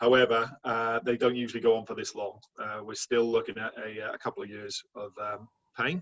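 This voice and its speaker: A man with a Welsh accent speaks at a fairly quick pace in a medium pitch. His intonation stays fairly even while his loudness swings widely. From Wales. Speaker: insurance manager. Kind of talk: presentation.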